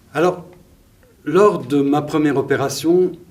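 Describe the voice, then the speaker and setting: In a room with audible echo, a man speaks at a very slow pace. His pitch is fairly high and his intonation fairly even. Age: 60s. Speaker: storyteller in a stage performance. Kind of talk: personal storytelling on stage.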